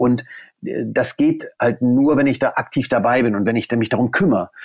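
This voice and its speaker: A man talks at a medium pitch. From northern Germany, near Stade (Lower Saxony). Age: 40s. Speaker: golf course managing director. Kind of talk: interview. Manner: hesitant, many fillers.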